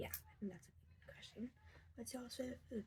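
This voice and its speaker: A woman speaks quietly. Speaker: craft tutorial video maker. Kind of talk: tutorial.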